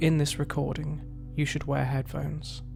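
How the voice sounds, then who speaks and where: A man's voice with music in the background. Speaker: hypnotherapist. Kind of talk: hypnosis session. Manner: slow, calm.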